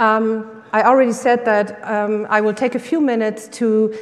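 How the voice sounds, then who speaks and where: Over noticeable background noise, a woman with a German accent talks in a fairly high pitch with fairly even intonation. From Germany. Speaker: workshop leader. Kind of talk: workshop talk. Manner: hesitant with many fillers.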